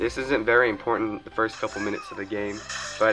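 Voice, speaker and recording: A man talks very fast in a fairly low voice while music plays in the background. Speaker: gaming tips video maker. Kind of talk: game tutorial voice-over.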